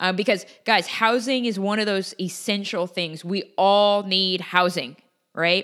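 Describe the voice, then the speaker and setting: A woman with a normal speaking voice, a medium pitch and an American accent, fairly slow pace, ordinary pitch variation, very clean recording and silent background. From US Pacific Northwest (Portland, Oregon). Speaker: podcast host, real estate investor. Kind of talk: solo educational podcast monologue. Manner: casual, conversational with many fillers.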